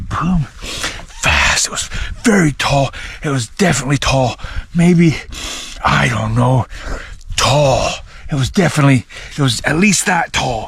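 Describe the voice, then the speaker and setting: Noticeable background noise is present. Over it, a man speaks at a fairly slow pace. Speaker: outdoor vlogger. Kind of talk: outdoor vlog narration. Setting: outdoors in woods. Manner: stuttering, halting.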